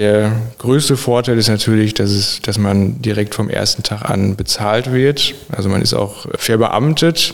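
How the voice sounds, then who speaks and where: A man with an unremarkable speaking voice talks at a fairly slow pace and fairly low pitch, with very even loudness and ordinary pitch variation. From Sauerland, western Germany. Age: 20s. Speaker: dual-study student in public administration. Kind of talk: podcast interview.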